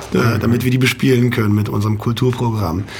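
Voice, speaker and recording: Amid audible room echo and noticeable background noise, a man speaks at a moderate pace and medium pitch with fairly even intonation. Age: 30s. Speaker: nightclub operator. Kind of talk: radio interview. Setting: radio studio.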